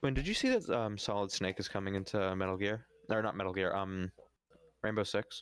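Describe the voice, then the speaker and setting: A man's fairly low voice, fairly quick pace and fairly even intonation. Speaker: gaming streamer. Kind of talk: casual chat. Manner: loud; halting, many fillers.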